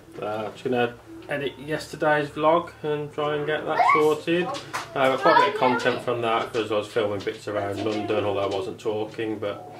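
Loud background noise fills the recording. The speech moves at a fairly quick pace. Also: man. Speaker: family vlogger. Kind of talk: casual vlog chat. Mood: relaxed, proud. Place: home room. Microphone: phone near.

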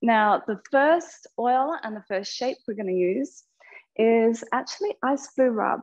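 A woman with an Australian accent speaks at a very slow pace in a calm, soothing tone. Her pitch is fairly high, and the background is quiet. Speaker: yoga teacher. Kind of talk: guided yoga class. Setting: online live class. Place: studio.

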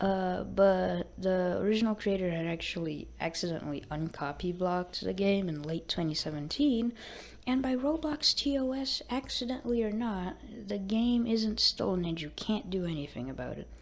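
This woman talks at a moderate pace with a medium pitch. Her intonation is lively. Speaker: gaming tutorial youtuber. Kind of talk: casual game tutorial voiceover. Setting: low-quality microphone.

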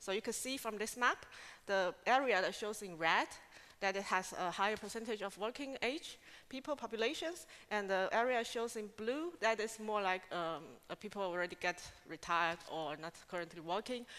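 A woman's bright, sharp tone and lively intonation at a moderate pace. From Taiwan. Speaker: scientific associate, researcher; conference presenter. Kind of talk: conference talk. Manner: halting, with many fillers. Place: hall. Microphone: podium.

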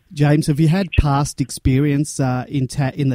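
A man in an Australian accent, medium-pitched with a dark, mellow tone, fairly even intonation and a dry, close sound with no echo. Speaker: podcast host. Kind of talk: casual chat.

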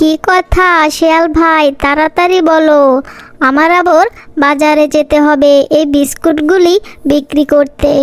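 A high-pitched cartoonish character voice at a fairly slow pace. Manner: lively, excitable.

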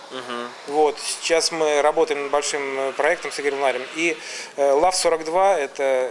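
An unremarkable speaking voice from a man, fairly high in pitch and fairly even in intonation, at a fairly slow pace over light background noise. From Samara, Volga region, Russia; Russia. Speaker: music and media producer; talk show guest. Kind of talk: casual talk show interview. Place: studio.

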